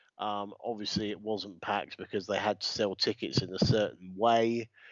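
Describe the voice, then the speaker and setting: A man with a British accent talks at a moderate pace, his fairly low pitch held in fairly even intonation. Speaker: podcast co-host and wrestling ring announcer. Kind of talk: casual chat.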